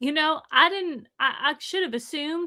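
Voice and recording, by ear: A woman speaks at a high pitch with a bright, sharp tone.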